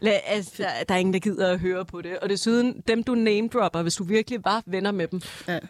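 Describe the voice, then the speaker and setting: Here a woman uses an ordinary speaking voice at a medium pitch. She talks at a fairly quick pace with fairly even intonation. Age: 20s. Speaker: nursing student, former nightclub bartender. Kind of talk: casual chat.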